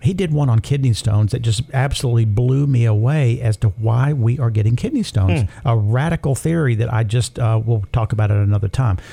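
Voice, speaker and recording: A somewhat breathy, dark and mellow voice at a fairly quick pace, with ordinary pitch variation, very even loudness and hardly any pauses. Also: man, medium pitch for a man. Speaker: radio host. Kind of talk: radio announcer patter, a warm scripted-sounding break lead-in. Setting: studio. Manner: upbeat, chatty and jovial; smooth, practiced sign-off delivery.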